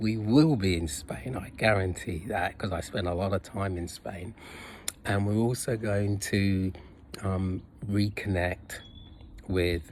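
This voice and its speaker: Speaking at a very slow pace with long, frequent pauses, a man uses ordinary pitch variation. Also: fairly low pitch for a man. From UK and Jamaica (teens in Jamaica). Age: 60s. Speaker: personal trainer, fitness vlogger. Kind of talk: casual vlog monologue. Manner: halting, many fillers.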